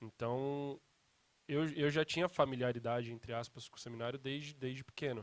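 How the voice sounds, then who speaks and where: A man in a normal speaking voice, at a moderate pace, with fairly even intonation and big swings in loudness. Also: medium pitch for a man. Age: 20s. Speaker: seminary student. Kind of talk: casual chat. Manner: casual, informal slang.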